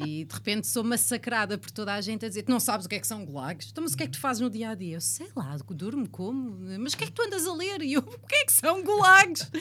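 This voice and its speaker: A woman talks very fast in a European Portuguese accent, with hardly any pauses. Her loudness swings a lot. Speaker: radio presenter and comedian. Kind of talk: casual interview.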